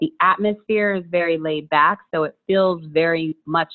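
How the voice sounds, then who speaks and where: A woman with an American accent speaks in an unremarkable speaking voice, fairly low in pitch, at a moderate pace with fairly even intonation. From US Mid-Atlantic (DC area). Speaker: entrepreneur, meditation coach. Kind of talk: casual interview chat.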